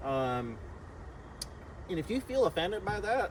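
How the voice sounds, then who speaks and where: Over noticeable background noise, a man speaks at a high pitch. His pace is very slow and his pitch swings very widely. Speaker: podcast co-host. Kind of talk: casual chat. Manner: energetic.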